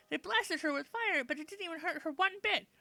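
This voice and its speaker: Squeaky and enthusiastic, a female-sounding put-on character voice races along at a very fast pace with extremely high pitch. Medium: game stream. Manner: fast, chatty, enthusiastic.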